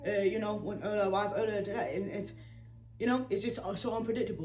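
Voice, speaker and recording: Amid noticeable background noise and audible room echo, a woman talks at a fairly quick pace with medium pitch and fairly even intonation. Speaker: patient sharing medical journey. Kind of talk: interview. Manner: halting.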